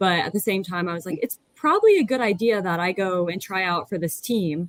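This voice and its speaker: With an American accent and an unremarkable speaking voice, a woman speaks at medium pitch and a moderate pace with ordinary pitch variation, in a dry, close sound with no echo. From US. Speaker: athlete, ocean rower. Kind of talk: podcast interview.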